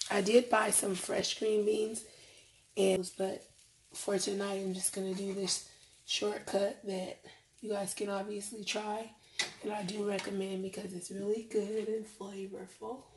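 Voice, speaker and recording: Over light background noise, a woman speaks at a fairly slow pace. Her intonation is flat and monotone. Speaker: home cook vlogger. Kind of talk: casual cooking tutorial. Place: kitchen. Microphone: phone near.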